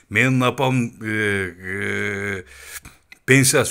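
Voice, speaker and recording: A man talks with a bright, sharp tone. The recording is very clean, and the background is silent. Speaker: political commentator. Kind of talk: political rant. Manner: animated; halting.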